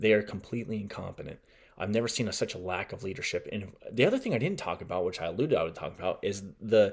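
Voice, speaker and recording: A man speaks at a very fast pace with an American accent. The recording is very clean, with a silent background. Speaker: political podcast host. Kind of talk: solo podcast commentary.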